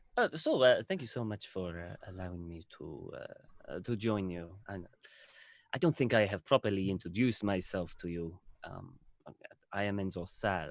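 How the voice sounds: A man speaks in a low pitch at a moderate pace. His lively intonation comes with vocal fry.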